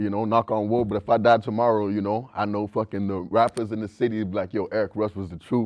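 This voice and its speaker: Speaking very fast with hardly any pauses, a man with an American accent keeps a fairly low pitch and flat, monotone intonation. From mixed, lived in US Louisiana and South Africa. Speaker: rapper. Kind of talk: casual interview. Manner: casual, lots of fillers and swearing.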